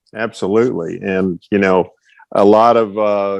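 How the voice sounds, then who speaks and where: A man with an American accent and a fairly low voice speaks at a fairly slow pace with fairly even intonation; he has an unremarkable speaking voice. The sound is dry and close, with no echo. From Texas, Fort Worth. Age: 60s. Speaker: retired track and field coach. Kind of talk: casual interview. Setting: podcast.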